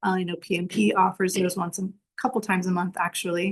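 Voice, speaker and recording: A somewhat breathy woman's voice at a medium pitch, monotone and flat in intonation, at a moderate pace. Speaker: webinar presenter on somatics. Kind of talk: webinar presentation.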